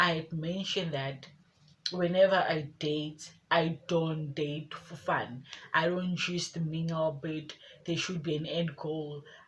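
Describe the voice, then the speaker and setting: A woman's very deep, low voice comes through somewhat breathy. She talks very slowly in a monotone, flat delivery. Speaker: lifestyle vlogger. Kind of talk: casual vlog talk.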